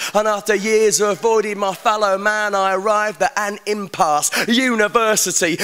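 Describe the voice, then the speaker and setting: A man's raised, projected voice at a fairly slow pace. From England. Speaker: performance poet. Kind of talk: live spoken word poetry performance. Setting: live venue. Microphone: handheld.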